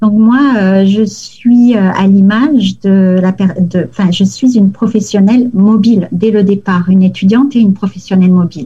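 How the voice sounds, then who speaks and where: Using a normal speaking voice, a woman speaks at a fairly slow pace and medium pitch with ordinary pitch variation, very even loudness, and hardly any pauses. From southern France, near Toulouse. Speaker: lawyer. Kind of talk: interview.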